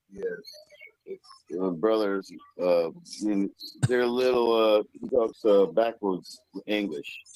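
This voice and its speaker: Very slow, fairly low speech from a man with an American accent, dark and mellow in tone, with ordinary pitch variation and long, frequent pauses. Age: 50s. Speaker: caller. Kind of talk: live call-in story. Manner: halting.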